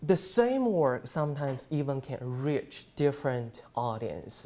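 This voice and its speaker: A man with a fairly high pitch, lively intonation and a Chinese accent, speaking at a very slow pace in a very clean recording with a silent background. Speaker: journalism student. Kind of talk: class presentation. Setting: presentation to an audience. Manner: halting, many fillers.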